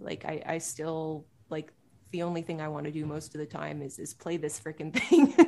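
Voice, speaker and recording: A woman speaks with a Canadian accent at a very deep, low pitch. Her intonation stays monotone and flat. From Ontario, Canada (Pickering, east of Toronto). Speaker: singer-songwriter and composer. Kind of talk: interview.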